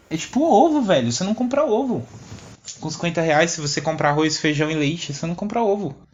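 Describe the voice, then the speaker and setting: Fairly quick speech plays against noticeable background noise. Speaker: podcast co-host. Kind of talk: casual chat. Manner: animated.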